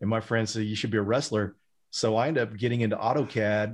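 Against a quiet background, a man with a Texan accent talks very fast at a medium pitch. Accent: Texan American. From Texas, Denton. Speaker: cybersecurity professional and instructor. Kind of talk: casual chat.

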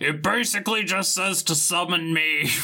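A man adopts a put-on character voice, pitched high and moving at a moderate pace.

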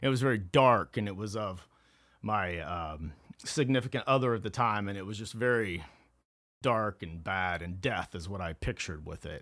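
A man with an American accent and a normal speaking voice talks at a fairly low pitch with ordinary pitch variation and big swings in loudness, on a very clean recording with a silent background. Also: moderate pace. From rural Kansas, Flint Hills. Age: 40s. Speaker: recovered addict telling his story. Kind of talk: testimony.

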